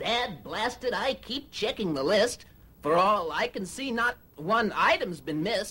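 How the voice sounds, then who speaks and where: A female-sounding voice puts on a character voice at a moderate pace with a fairly high pitch. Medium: read story. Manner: crusty, old-timer grumbling.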